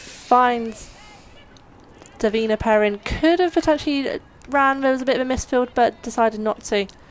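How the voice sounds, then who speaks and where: A woman speaks in a high pitch with ordinary pitch variation at a moderate pace. Her speech has long, frequent pauses, and noticeable background noise is present. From Somerset, England. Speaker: cricket commentator. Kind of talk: live commentary.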